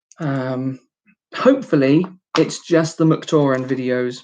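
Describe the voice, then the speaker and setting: In a British accent, a woman talks with ordinary pitch variation. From United Kingdom. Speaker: YouTuber building toy sets. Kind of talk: casual live-stream chat. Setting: live stream. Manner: casual, many filler words.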